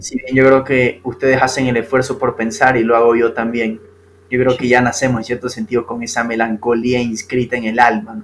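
At a moderate pace, a man with a medium-pitched voice speaks in a flat monotone over noticeable background noise. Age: 20s. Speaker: lawyer and novelist, podcast guest. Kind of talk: casual philosophical conversation.

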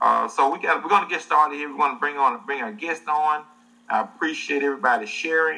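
With a Southern US accent, a man talks at a very fast pace, his pitch varying in an ordinary way. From US South. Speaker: livestream show host. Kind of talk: casual livestream interview. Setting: online livestream.

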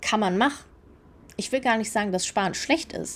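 Woman's medium-pitched voice with lively intonation and an animated tone. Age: 30s. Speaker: podcast host. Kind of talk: casual monologue.

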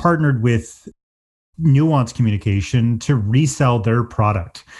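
A man with an Atlantic Canadian accent talks at a moderate pace in a medium pitch, his somewhat breathy voice rising and falling in a lively way over a quiet background. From Atlantic Canada. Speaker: tech company CEO. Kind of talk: interview.

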